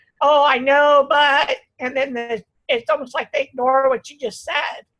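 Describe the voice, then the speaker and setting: Using a raised, projected voice, a woman talks fairly slowly at a high pitch, her tone bright and sharp and her pitch variation ordinary. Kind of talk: casual chat.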